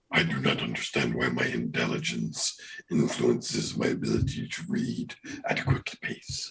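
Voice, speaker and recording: A man performs a put-on character voice. He speaks at a moderate pace. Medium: actual play. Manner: formal, clipped.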